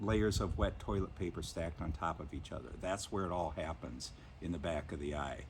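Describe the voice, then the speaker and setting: A man with a very deep, low pitch and vocal fry speaks at a fairly quick pace with ordinary pitch variation. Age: 60s. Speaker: blind vlogger with inherited retinal disease. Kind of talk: casual explanatory talk.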